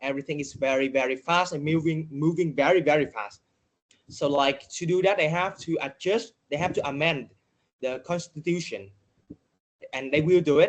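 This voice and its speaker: A man with a Vietnamese accent speaks at a moderate pace with ordinary pitch variation. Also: fairly high pitch for a man. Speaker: data journalist. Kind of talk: podcast interview. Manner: halting, many fillers.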